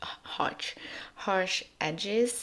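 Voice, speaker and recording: Using a non-native accent, a woman talks at a medium pitch with ordinary pitch variation. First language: not English. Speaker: scrapbooking crafter. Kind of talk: tutorial voiceover. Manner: halting, many fillers and restarts.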